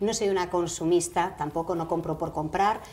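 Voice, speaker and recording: A woman with a plain, everyday voice, medium in pitch, at a moderate pace and with ordinary pitch variation. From Spain, Galicia (Vigo). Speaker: actress and radio presenter. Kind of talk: interview. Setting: TV studio.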